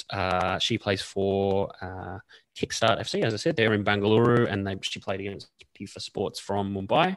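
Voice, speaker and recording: A man with an Australian accent and a fairly low pitch talks at a moderate pace with fairly even intonation in a very clean recording with a silent background. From Canberra, Australia. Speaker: women's football podcast panelist. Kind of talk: casual chat.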